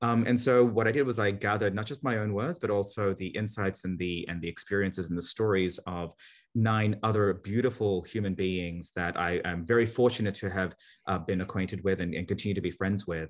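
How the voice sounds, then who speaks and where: Against a quiet background, a man with an Australian accent speaks at a fairly low pitch with ordinary pitch variation. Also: fairly quick pace. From Australia, Sydney (born in Manila, Philippines). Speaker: marketing executive and author. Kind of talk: interview.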